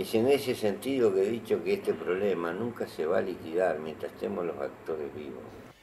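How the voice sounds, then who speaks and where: Noticeable background noise accompanies a man with a fairly low pitch. He speaks at a moderate pace with lively intonation. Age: 70s. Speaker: interviewee. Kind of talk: interview.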